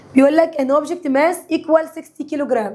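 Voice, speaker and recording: A woman talks at a fairly quick pace with noticeable background noise around her. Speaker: science teacher. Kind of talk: lecture. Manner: animated.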